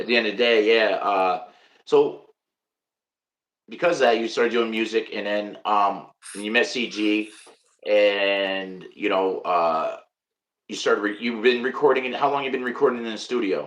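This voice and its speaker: A man with a New York accent speaks at medium pitch with fairly even intonation. He takes long, frequent pauses. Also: moderate pace. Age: 50s. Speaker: podcast host. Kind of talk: casual interview.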